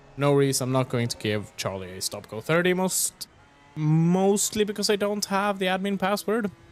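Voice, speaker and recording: A man speaks with a Swedish accent. His voice has very wide pitch swings. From Sweden. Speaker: sim racing commentator. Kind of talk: live commentary. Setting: livestream.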